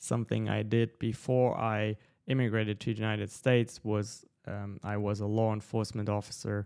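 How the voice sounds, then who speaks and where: A man's fairly low voice with a non-native accent and monotone, flat intonation. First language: not English. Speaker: entrepreneur and podcast host. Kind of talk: live audio-room talk with audience Q&A. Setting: live online audio room with listeners.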